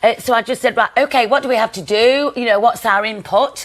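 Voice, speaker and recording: Talking at a fairly quick pace with a Nottingham accent, a woman uses lively intonation and an animated tone in her fairly high pitch. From Nottingham, England. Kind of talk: TV chat show interview answer. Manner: chatty, animated.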